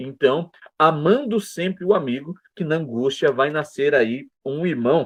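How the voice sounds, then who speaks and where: This man has a plain, everyday voice. He speaks at a fairly slow pace with lively intonation. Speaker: Sunday school Bible teacher. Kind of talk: Bible lesson lecture.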